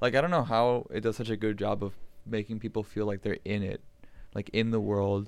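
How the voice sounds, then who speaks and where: A fairly quick delivery in a very clean recording with a silent background. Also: man, fairly low pitch for a man, ordinary pitch variation. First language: Spanish. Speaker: podcast co-host. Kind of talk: casual chat.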